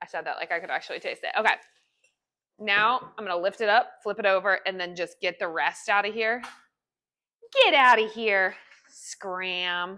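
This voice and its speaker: With long, frequent pauses, a woman speaks loudly in a bright, sharp and animated tone. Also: medium pitch for a woman, ordinary pitch variation, moderate pace. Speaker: home baking video creator. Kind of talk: casual cooking tutorial.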